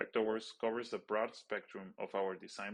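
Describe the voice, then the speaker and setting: The voice carries a non-native accent. The sound is dry and close, with no echo. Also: man. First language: not English. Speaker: stage and lighting designer. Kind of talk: webinar presentation. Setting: webinar.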